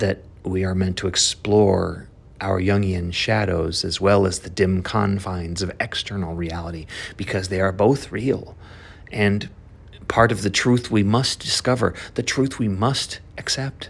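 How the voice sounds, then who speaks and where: A plain, everyday voice from a man, fairly low in pitch, fairly slow, with ordinary pitch variation. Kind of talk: spoken word poetry reading and analysis.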